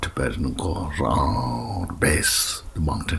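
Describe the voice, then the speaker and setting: A man with a very deep, low pitch speaks at a very slow pace, with audible room echo and noticeable background noise. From Tibet. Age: 60s. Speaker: Buddhist teacher. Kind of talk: interview. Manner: halting, with many fillers.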